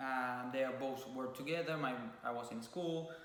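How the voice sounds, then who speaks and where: Monotone and flat in intonation, a man with a Cuban accent speaks at a fairly slow pace and medium pitch, with audible room echo and noticeable background noise around him. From Cuba (Havana). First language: Spanish. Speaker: YouTuber (couple vlog). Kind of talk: casual chat. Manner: halting.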